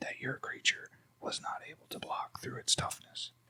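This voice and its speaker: A man whispers. The sound is dry and close, with no echo. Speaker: ASMR creator. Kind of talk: ASMR deck walkthrough. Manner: slow, relaxed, conversational.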